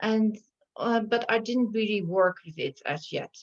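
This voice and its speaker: Recorded with a dry, close sound and no echo, a woman with a Dutch accent speaks with ordinary pitch variation. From Netherlands. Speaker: shamanic healer. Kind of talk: interview.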